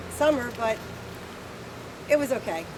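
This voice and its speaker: Fairly even intonation at a moderate pace, with audible room echo and noticeable background noise. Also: woman. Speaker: hog farmer. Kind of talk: presentation.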